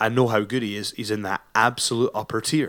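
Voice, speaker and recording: Speaking at a fairly quick pace, a man with medium pitch has a plain, everyday voice on a very clean recording with a silent background. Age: 30s. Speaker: pro wrestler and podcast host. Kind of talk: solo monologue podcast.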